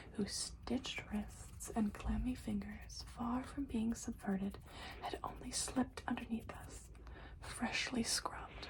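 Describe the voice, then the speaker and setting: Soft-spoken and whispering, a woman talks at a fairly slow pace over noticeable background noise. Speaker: ASMR creator. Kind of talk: poetry reading. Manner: soft-spoken, whispering.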